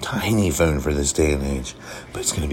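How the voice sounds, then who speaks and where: Speech in an American accent, with noticeable background noise. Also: man. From Cincinnati area, Ohio. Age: 30s. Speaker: podcast host. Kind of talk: solo casual monologue. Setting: hotel room.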